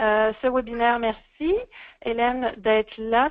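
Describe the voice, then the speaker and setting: A woman speaks with a Quebec accent at a fairly high pitch. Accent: Québécois French. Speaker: webinar presenter. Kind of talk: speaker introduction. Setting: online webinar.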